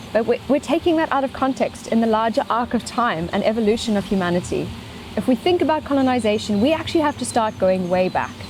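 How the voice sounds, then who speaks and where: Over noticeable background noise, someone with a South African accent talks very fast with lively intonation and very even loudness. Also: woman, fairly high pitch for a woman. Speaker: scientist and speaker on ecology. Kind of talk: lecture.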